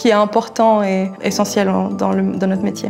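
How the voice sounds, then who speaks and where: With music playing in the background, a woman speaks at a moderate pace and a medium pitch. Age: 20s. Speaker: translator. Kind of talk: employee testimonial interview. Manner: hesitant, many fillers.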